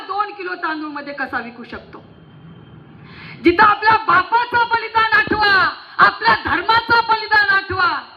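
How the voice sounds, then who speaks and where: An extremely high-pitched woman's voice, passionate in tone, with ordinary pitch variation. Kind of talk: fiery public political-religious rally speech. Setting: stage with PA system before a large crowd. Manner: forceful, passionate, rousing, loud.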